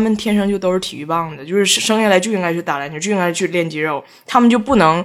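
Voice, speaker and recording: A woman talks at a very fast pace, her tone animated and her intonation lively. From Northeast China (Tieling, Liaoning). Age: 30s. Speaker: guest. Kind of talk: casual chat. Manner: animated, laughing often.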